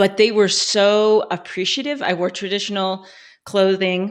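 A plain, everyday voice from a woman in an American accent, medium in pitch and fairly even in intonation, over a quiet background. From Colorado. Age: 40s. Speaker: former adult industry worker. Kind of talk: casual interview.

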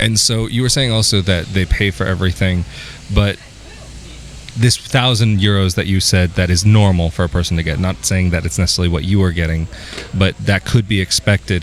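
Against noticeable background noise, a man with an American accent speaks in a very deep, low voice with ordinary pitch variation. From US, California. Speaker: YouTuber interviewer. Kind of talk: casual interview. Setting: outdoors.

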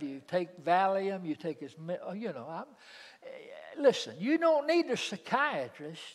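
A man with a Southern US accent and lively intonation at a fairly slow pace, on a very clean recording with a silent background. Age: 70s. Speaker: preacher. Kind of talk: sermon. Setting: church.

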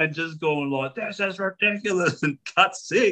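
In an Australian accent, a man uses a raised, projected voice with a bright, sharp tone and lively intonation. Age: 30s. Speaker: podcast host. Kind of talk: casual chat.

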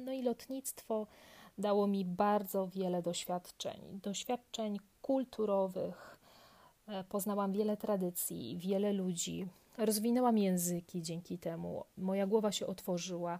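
An ordinary speaking voice at a fairly slow pace with fairly even intonation. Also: woman, medium pitch for a woman. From southern Poland, near Kraków. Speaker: yoga podcaster, trained musician. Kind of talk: casual monologue.

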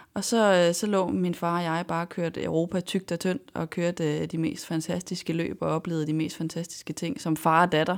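On a very clean recording with a silent background, a woman with a plain, everyday voice speaks in a fairly low pitch with fairly even intonation. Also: moderate pace. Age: 20s. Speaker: racing driver. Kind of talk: interview. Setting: studio.

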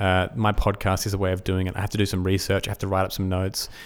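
A man with an Australian accent talks very fast in a fairly low voice, flat and monotone throughout. The recording is very clean, with a silent background. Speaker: esports podcast host. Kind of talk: solo podcast monologue.

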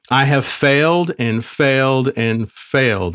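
With a normal speaking voice, a man talks at a fairly slow pace and fairly even intonation on a very clean recording with a silent background. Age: 40s. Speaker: podcast host and business coach. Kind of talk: motivational monologue.

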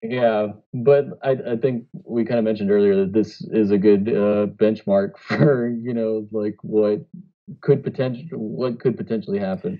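A man speaks with an ordinary speaking voice at medium pitch. His pace is moderate and his pitch variation ordinary. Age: 30s. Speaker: podcast co-host. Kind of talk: casual chat.

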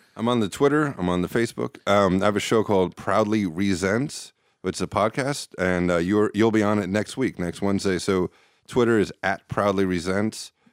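In a very clean recording with a silent background and a dry, close sound with no echo, a man uses a normal speaking voice at a fairly low pitch, with ordinary pitch variation and a moderate pace. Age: 40s. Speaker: talent booker and podcast host. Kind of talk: casual chat.

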